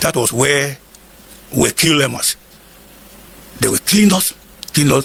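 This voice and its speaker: Amid noticeable background noise, a man speaks with ordinary pitch variation and long, frequent pauses. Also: fairly high pitch for a man, moderate pace. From northern Nigeria, Igala from Kogi State. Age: 70s. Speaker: war veteran. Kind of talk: interview.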